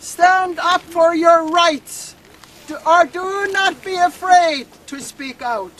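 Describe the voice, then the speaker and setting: Noticeable background noise surrounds a woman speaking at a very slow pace. Her pitch is extremely high. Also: ordinary pitch variation. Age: 70s. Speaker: First Nations elder and activist. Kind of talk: protest speech.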